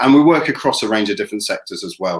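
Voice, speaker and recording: A man speaks with a British accent. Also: quiet background. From England. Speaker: tech company representative; presenter. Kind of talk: product presentation. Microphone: webcam.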